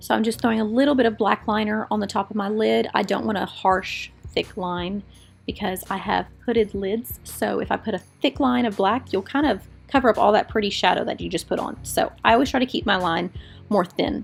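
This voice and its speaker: Soft-spoken and fairly quick, a woman talks with lively intonation while music plays in the background. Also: fairly high pitch for a woman. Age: adult parent. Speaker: makeup artist and beauty vlogger. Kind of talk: makeup tutorial voiceover. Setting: home studio. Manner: quiet, soft-spoken.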